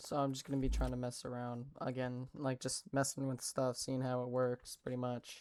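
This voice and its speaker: This soft-spoken voice keeps a moderate pace with hardly any pauses. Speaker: gaming youtuber. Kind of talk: gameplay commentary. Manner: halting.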